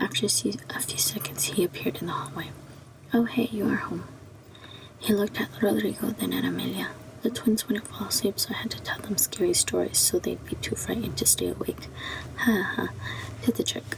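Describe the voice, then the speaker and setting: Whispering from a woman at a fairly quick pace, with noticeable background noise. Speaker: ASMR creator. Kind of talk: ASMR book reading. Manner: whispered.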